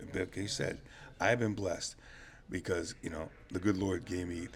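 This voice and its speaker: A man's very deep, low voice, somewhat breathy, at a fairly quick pace. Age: 70s. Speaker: youth baseball coach. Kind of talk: casual chat.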